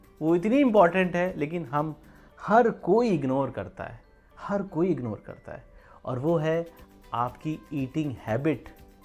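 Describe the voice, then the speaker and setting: Over music in the background, a man speaks at a high pitch with very wide pitch swings and big swings in loudness. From Uttar Pradesh, India. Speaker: vlogger. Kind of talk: motivational talk to camera. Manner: casual, conversational.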